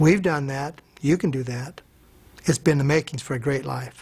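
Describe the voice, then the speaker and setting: A man speaks at a fairly quick pace in a somewhat breathy voice with ordinary pitch variation. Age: 60s. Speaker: network marketing distributor. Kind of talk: testimony.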